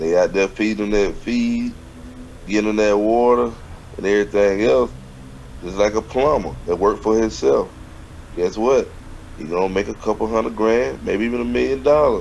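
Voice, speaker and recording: With a Southern US accent, a man with a fairly low pitch speaks at a moderate pace with lively intonation and long, frequent pauses over noticeable background noise. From US South. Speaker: business mentor. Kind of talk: casual chat. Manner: animated.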